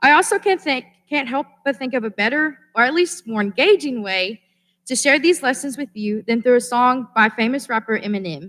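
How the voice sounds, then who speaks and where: A woman with an American accent and a high-pitched voice speaks at a moderate pace with lively intonation. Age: 20s. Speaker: student commencement speaker. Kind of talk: commencement speech. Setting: stage with audience. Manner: formal.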